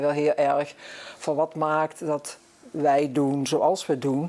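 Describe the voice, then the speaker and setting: This woman's very deep, low voice has a dark, mellow tone and a monotone, flat intonation, and she speaks at a very slow pace. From Netherlands, Brabant (Zevenbergen). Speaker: guest on local talk show. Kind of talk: talk show interview.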